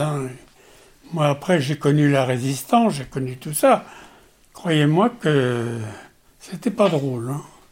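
Speaking very slowly with long, frequent pauses, a man uses a fairly high, somewhat breathy voice with ordinary pitch variation. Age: 80s+. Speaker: war veteran. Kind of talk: testimony. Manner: halting.

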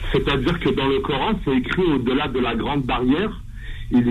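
There is noticeable background noise and audible room echo as a man speaks with ordinary pitch variation. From Algeria, Kabylie (raised in France from age 7). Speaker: radio caller. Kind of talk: phone-in question.

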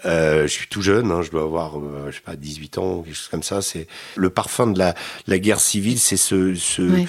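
Very deep, low speech from a man at a medium speed, with normal variation in pitch. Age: 50s. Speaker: war reporter. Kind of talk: interview. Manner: halting.

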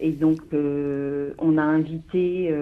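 A woman's voice, very deep and low in pitch. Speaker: deputy mayor, petition activist. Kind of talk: radio interview.

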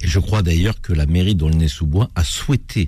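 A man's very deep, low voice comes across somewhat breathy, with a dark, mellow tone. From France. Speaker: radio host. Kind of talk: radio talk show. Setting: studio.

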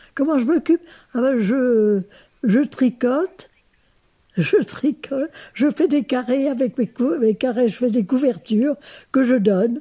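Very slow and marked by long, frequent pauses, a woman's high-pitched voice has a dark, mellow tone, very even loudness and lively intonation. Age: 80s+. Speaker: retirement home resident. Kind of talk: interview. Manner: halting.

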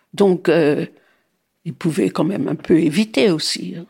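A woman's dark, mellow tone with lively intonation at a fairly slow pace, in a very clean recording with a silent background. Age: 80s+. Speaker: grandmother sharing memories. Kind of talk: testimony. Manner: halting.

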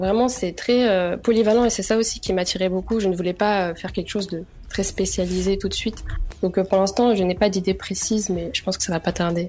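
Over music in the background, the speaker moves at a fairly quick pace with fairly even intonation. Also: woman, medium pitch for a woman. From France, Vannes (Brittany), Chechen family. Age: young. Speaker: law student. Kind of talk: radio interview. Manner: hesitant, many fillers.

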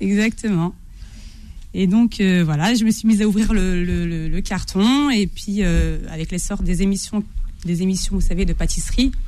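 In a room with audible echo, a woman speaks at a medium pitch and a moderate pace, with ordinary pitch variation. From Algerian heritage, France. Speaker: pastry book author, food blogger. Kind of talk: radio interview.

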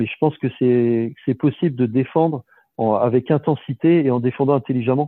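A man speaks with fairly even intonation. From western France, Cholet area. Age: 40s. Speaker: professional basketball player. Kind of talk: interview. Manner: hesitant, many repetitions.

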